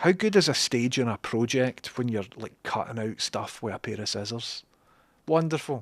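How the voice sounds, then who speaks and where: A Scottish accent at a moderate pace, dry and close with no echo, on a very clean recording with a silent background. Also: man, medium pitch for a man, ordinary pitch variation. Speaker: livestreamer and programmer. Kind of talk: casual livestream chat. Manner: casual, chatty with fillers.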